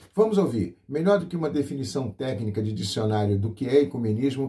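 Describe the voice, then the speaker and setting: This man has a dark, mellow tone that is somewhat breathy. He speaks fairly quickly with lively intonation. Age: 60s. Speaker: pastor and radio host. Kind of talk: radio program presentation. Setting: radio broadcast.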